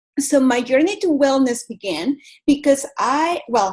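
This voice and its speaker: A high-pitched woman with a Venezuelan accent and lively intonation. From Venezuela, Caracas. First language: Spanish. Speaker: yoga teacher and wellness coach. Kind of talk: motivational talk.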